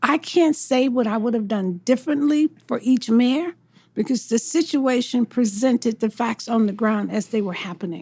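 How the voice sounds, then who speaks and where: Speaking with an American accent, a woman has a high pitch and a dark, mellow tone. Her moderate pace and ordinary pitch variation come through in a dry, close sound with no echo. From US South, Mississippi. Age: 70s. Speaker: mayoral candidate. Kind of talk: interview.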